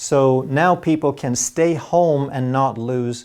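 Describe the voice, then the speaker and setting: With a Swedish accent, a man at medium pitch speaks in a dark, mellow tone with lively intonation. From Sweden. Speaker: health educator doctor. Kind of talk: health explainer monologue.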